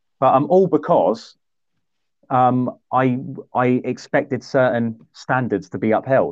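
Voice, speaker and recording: In a southern English accent, the speaker goes at a fairly slow pace with ordinary pitch variation. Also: man, medium pitch for a man. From southern England, High Wycombe. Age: 30s. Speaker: sports events organiser and podcast host. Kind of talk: casual chat.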